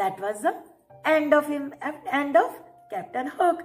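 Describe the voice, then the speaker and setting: A woman speaks at a high pitch with faint music in the background. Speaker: teacher storyteller. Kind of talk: storytelling to children. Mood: warm, cheerful. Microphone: webcam.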